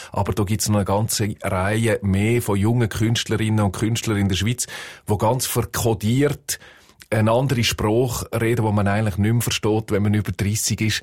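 On a very clean recording with a silent background, a man with a Swiss accent speaks at a moderate pace with very even loudness, a somewhat breathy quality and monotone, flat intonation. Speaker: music journalist. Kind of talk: casual chat.

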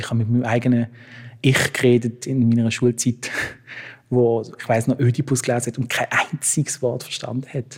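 A man speaks at a moderate pace and medium pitch. His somewhat breathy voice has monotone, flat intonation. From Switzerland, Basel. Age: 30s. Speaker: playwright. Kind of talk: interview.

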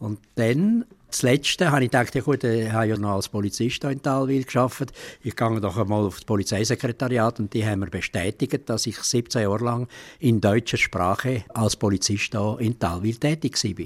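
A man with an unremarkable speaking voice talks at a moderate pace with ordinary pitch variation. The sound is dry and close, with no echo. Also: medium pitch for a man. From Ticino, Switzerland. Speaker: retired policeman, taxi driver. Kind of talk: interview.

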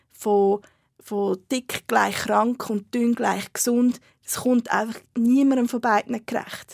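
A woman's fairly high-pitched, monotone, flat voice at a very slow pace, with a dry, close sound and no echo. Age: 30s. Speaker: fat activist and blogger. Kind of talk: interview.

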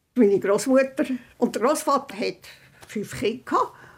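Over noticeable background noise, a woman talks at a very slow pace and a high pitch. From Central Switzerland, Rigi. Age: 90s. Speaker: eyewitness, hotelier's granddaughter. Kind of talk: interview recollection.

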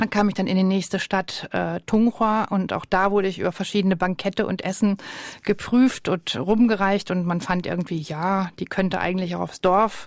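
At a moderate pace, a woman speaks with a medium pitch. Her intonation is fairly even. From Germany. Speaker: ethnologist and museum director. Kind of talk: radio interview. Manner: hesitant with fillers.

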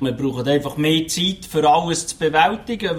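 At a moderate pace, a man with a fairly high pitch speaks in an unremarkable speaking voice. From Switzerland, canton of Lucerne. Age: 40s. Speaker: truck driver. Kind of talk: interview.

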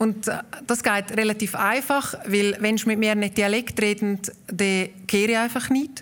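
A woman with a Valais accent talks at a fairly slow pace in a fairly high pitch, keeping very even loudness and fairly even intonation over noticeable background noise. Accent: Walser Swiss German, Valais-like. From Obersaxen, Graubünden, Switzerland. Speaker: guest, author, Walser association president. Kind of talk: live interview, chat. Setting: live stage with audience at a festival.

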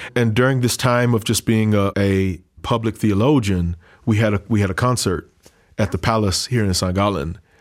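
On a very clean recording with a silent background, a man with a normal speaking voice talks at a moderate pace, his fairly low pitch showing ordinary variation and very even loudness. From US South, Louisiana (Creole family). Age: 30s. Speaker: pastor. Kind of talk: interview.

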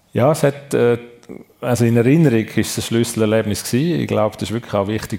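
Noticeable background noise sits behind a man speaking at a very fast pace with lively intonation. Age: 50s. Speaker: sports and tourism executive. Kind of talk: live radio talk show interview. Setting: restaurant event venue with live audience.

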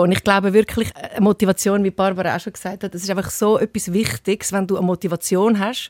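At a very fast pace, a woman speaks with a medium pitch and monotone, flat intonation in a dry, close sound with no echo. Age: 50s. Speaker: TV presenter. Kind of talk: interview.

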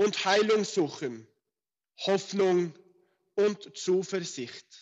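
A man talks very slowly in a high register. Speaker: rabbi. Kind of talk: prayer. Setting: phone call. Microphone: telephone line.

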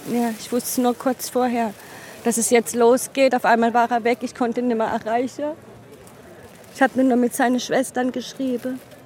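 A woman speaks at a moderate pace in a high voice. Her intonation is monotone and flat, broken by long, frequent pauses. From south-west Germany, Offenburg (Baden). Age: 40s. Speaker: interviewee, partner of a migrant. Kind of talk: interview testimony.

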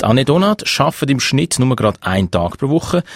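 A man in a Swiss accent with very wide pitch swings, dry and close with no echo, over noticeable background noise. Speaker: radio host. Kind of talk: radio presenting.

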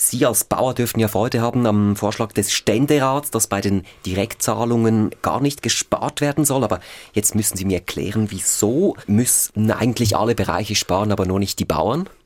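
A man with a plain, everyday voice and fairly low pitch speaks at a moderate pace, with ordinary pitch variation and very even loudness, on a very clean recording with a silent background. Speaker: radio news host. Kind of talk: radio political discussion.

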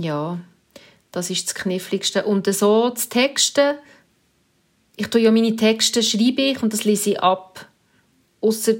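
This woman's delivery is fairly slow, and her pitch shows ordinary variation. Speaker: radio news presenter. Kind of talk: interview.

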